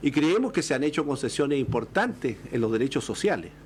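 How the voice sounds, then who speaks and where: A man talking at a fairly quick pace, his pitch swinging very widely. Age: 60s. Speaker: political panelist. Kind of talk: political panel discussion. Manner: halting.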